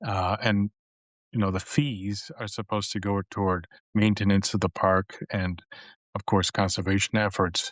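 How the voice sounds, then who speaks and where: In a very clean recording with a silent background and a dry, close sound with no echo, a man with an unremarkable speaking voice and an American accent talks at a moderate pace, fairly low in pitch with fairly even intonation. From United States. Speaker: podcast host. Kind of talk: interview podcast. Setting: live stream.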